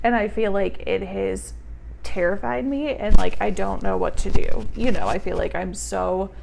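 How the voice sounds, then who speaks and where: A woman speaks loud and at a fairly slow pace, with audible room echo. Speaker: vlogger. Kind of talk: casual storytime vlog. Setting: home, on tripod. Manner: animated.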